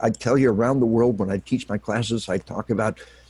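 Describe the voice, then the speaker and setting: With a dry, close sound and no echo, a man speaks at a medium pitch in a somewhat breathy voice. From Arkansas. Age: 60s. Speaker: retired army officer and military psychology author. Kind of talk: interview. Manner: impassioned, emphatic.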